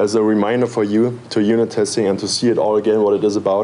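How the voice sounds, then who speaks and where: Noticeable background noise sits under a man with a German accent and a fairly low pitch. He talks at a fairly quick pace with monotone, flat intonation. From Germany (Berlin). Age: 20s. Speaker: software developer and conference speaker. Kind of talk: conference talk. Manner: hesitant, with filler words.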